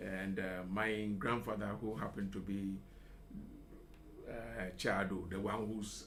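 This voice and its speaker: In a room with audible echo, a man talks fairly slowly with long, frequent pauses, a fairly low pitch and ordinary pitch variation. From Ghana, La (Accra). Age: 70s. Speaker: retired professional, school alumnus. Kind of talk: radio interview. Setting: radio studio.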